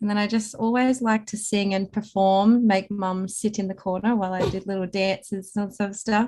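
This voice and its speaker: With an Australian accent, a woman speaks at a moderate pace in a medium-pitched, dark, mellow voice, her intonation monotone and flat, with hardly any pauses. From Snowy Mountains, New South Wales, Australia. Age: 20s. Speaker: singer-songwriter and paramedic. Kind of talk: interview answer. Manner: casual, chatty.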